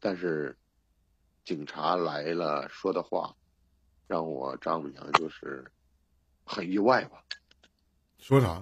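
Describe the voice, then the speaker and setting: Very slow and marked by long, frequent pauses, a man's very deep, low voice carries vocal fry and ordinary pitch variation. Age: 30s. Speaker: caller seeking relationship advice. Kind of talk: personal story told in a call-in advice chat.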